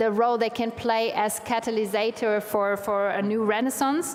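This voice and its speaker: A woman's fairly high voice at a moderate pace and very even loudness, with hardly any pauses, over noticeable background noise. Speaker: panel moderator. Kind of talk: moderating panel discussion. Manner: halting, many fillers.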